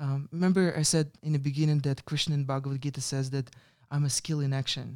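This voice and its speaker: A man's fairly high-pitched, very fast voice in a Russian accent, with monotone, flat intonation. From Russia (Ural region, near Perm). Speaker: meditation and yoga teacher, former monk. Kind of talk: interview. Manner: halting.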